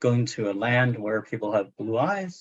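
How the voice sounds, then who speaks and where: Speaking with a Chinese accent, a man keeps a medium pitch and a moderate pace. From China. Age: 60s. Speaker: literary translator and professor. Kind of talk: book club discussion. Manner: halting, many fillers.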